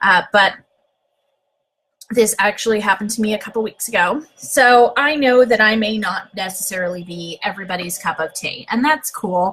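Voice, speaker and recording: Loud and fairly high-pitched, a woman speaks at a moderate pace with a bright, sharp tone and ordinary pitch variation. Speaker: social media seller. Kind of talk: livestream monologue. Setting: live video on social media.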